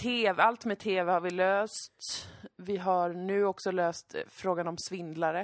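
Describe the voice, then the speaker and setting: A woman speaks at a very slow pace. Her pitch is medium and her intonation flat and monotone. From Sweden. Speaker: podcast host. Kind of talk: casual chat.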